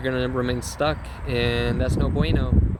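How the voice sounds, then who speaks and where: A man talks at a fairly slow pace in a room with audible echo, and background noise is noticeable. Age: 20s. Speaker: spiritual vlogger. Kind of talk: spiritual monologue. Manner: animated.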